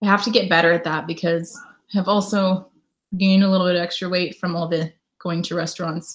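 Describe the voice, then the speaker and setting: With an American accent, a woman speaks in a medium pitch at a fairly quick pace. Her voice is somewhat breathy. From Connecticut, US. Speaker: travel vlogger and live streamer. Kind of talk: casual live stream chat. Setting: live stream at home.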